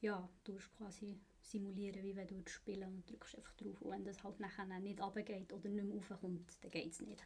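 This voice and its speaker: A woman's somewhat breathy, medium-pitched voice at a moderate pace, monotone and flat, with hardly any pauses. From Switzerland, Bern. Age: 20s. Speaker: apprentice instrument repairer. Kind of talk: casual interview.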